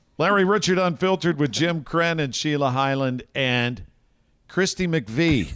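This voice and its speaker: Speaking at a fairly slow pace with an American accent, a man uses an ordinary speaking voice with fairly high pitch, ordinary pitch variation and very even loudness, in a very clean recording with a silent background. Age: 60s. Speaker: radio host. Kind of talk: casual chat.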